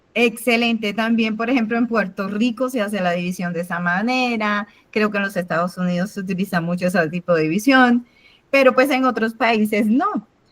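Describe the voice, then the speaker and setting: The woman's voice is fairly high and somewhat breathy. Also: ordinary pitch variation, moderate pace. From Cuba. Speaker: math teacher. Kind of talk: online class.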